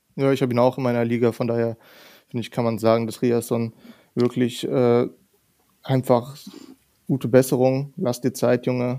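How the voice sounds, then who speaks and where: A man speaks at a moderate pace in a dark, mellow tone with monotone, flat intonation. He takes long, frequent pauses. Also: medium pitch for a man. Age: 20s. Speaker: content creator. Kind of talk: casual chat.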